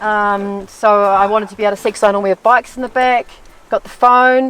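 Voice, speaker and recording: Very fast speech with a New Zealand accent and fairly even intonation. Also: woman, fairly high pitch for a woman. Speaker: solo overland traveller. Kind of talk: casual interview. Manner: halting, many fillers.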